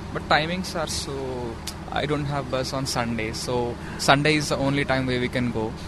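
There is noticeable background noise and audible room echo around the voice. A man talks at a moderate pace and medium pitch with fairly even intonation. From India, Hyderabad. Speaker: international student. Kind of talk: interview. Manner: halting.

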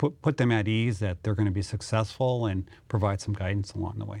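A man with an Upper Midwest accent has a fairly low pitch and a dark, mellow tone, with ordinary pitch variation. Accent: Upper Midwest American. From North Dakota (Mandan). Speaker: city administrator. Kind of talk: interview.

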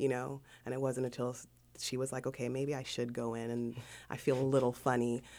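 A woman speaks with a very deep, low pitch and a dark, mellow tone. Her intonation stays monotone and flat. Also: fairly quick pace. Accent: Southern Californian. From South Central Los Angeles. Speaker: interview guest. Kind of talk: interview.

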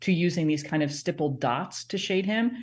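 Woman speaking at a moderate pace with ordinary pitch variation. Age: 40s. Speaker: professor of children's literature. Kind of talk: interview.

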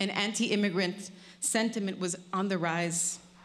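In audible room echo, a woman with a Spanish accent speaks at medium pitch and a moderate pace, with ordinary pitch variation. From Colombia. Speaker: storyteller. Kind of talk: live storytelling.

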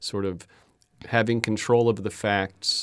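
An unremarkable speaking voice from a man with an American accent, fairly low in pitch with fairly even intonation, on a very clean recording with a silent background. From Florida, Fort Myers. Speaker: public radio host. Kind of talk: radio interview. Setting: studio.

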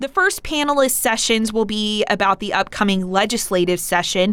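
Noticeable background noise runs under a voice with an American accent speaking at a moderate pace. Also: woman. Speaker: public radio host. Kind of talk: radio interview. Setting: studio.

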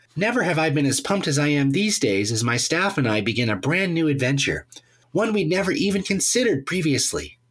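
A man's nasal, put-on character voice, fairly high-pitched for a man, at a fairly quick pace. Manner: excited, pumped.

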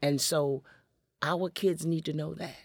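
Very deep and low in pitch, a woman with an American accent speaks at a fairly slow pace with fairly even intonation, recorded very cleanly against a silent background with a dry, close sound and no echo. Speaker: storyteller and performer. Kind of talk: radio interview. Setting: studio.

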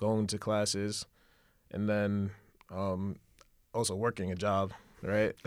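With a New York accent, a man speaks at a very slow pace in a monotone, flat intonation, leaving long, frequent pauses on a very clean recording with a silent background. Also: fairly low pitch for a man. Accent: New York City. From Brooklyn, New York. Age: 20s. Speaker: fashion event co-founder. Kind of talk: casual interview.

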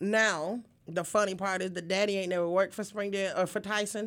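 A woman with an American accent speaks at a moderate pace in an ordinary speaking voice, her pitch medium. The recording is very clean, with a silent background. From upstate New York, then Arkansas from age 14. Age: 40s. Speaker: community activist and city council candidate. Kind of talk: casual interview. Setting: radio studio.

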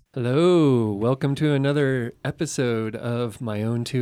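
The man's voice carries a dark, mellow tone, and its pitch varies in an ordinary way. The background is silent, and the recording is very clean. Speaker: college assistant dean and podcast co-host. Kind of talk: interview.

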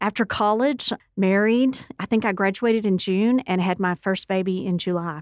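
A woman's plain, everyday voice at medium pitch, with ordinary pitch variation and a moderate pace, in a dry, close sound with no echo over a quiet background. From West Texas (Odessa). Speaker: university president. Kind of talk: radio interview.

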